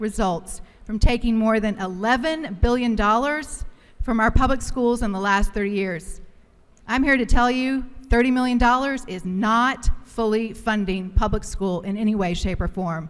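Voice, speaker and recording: Here is an unremarkable speaking voice from a woman, fairly high in pitch with ordinary pitch variation. She keeps a moderate pace. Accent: American. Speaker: state legislator. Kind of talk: legislative floor speech.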